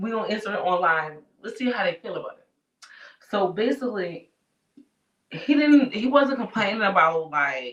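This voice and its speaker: A woman speaks at a moderate pace in a fairly high pitch, leaving long, frequent pauses. Her pitch swings very widely, and her loudness shifts a lot. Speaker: talk show co-host. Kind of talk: casual chat. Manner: halting, stuttering.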